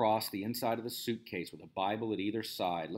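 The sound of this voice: The intonation holds fairly even. It comes in an unforced reading voice.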